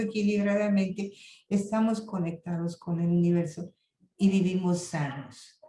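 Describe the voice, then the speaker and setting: Audible room echo around a woman's voice, its pitch varying in an ordinary way. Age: 70s. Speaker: lecturer on intercultural health. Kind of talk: lecture.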